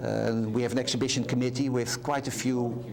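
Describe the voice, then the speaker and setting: Amid noticeable background noise and audible room echo, a man with a Dutch accent speaks at a moderate pace and medium pitch in a monotone, flat intonation. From Netherlands. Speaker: art center volunteer. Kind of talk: interview. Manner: halting.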